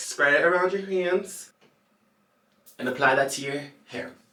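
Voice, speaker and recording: Audible room echo surrounds a man's voice. He sounds animated and playful, with ordinary pitch variation. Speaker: YouTuber, hair care tutorial creator. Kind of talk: casual tutorial. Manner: animated, playful; stumbles over words.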